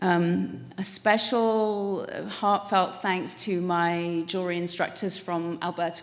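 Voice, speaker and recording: A woman with an English accent, fairly low in pitch, with fairly even intonation at a very slow pace, amid audible room echo. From England. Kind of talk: acceptance speech. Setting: stage with audience.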